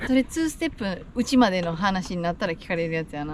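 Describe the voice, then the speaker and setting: Over noticeable background noise, a woman talks at a fairly quick pace. Her pitch swings very widely. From Nepal, raised in Japan. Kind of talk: casual talk to camera.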